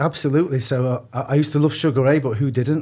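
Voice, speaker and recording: A man with a Manchester accent speaks fairly quickly in a dark, mellow tone with fairly even intonation. The recording is very clean, with a silent background. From northern England, Manchester. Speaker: boxing gym CEO. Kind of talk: podcast interview. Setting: studio with headphones.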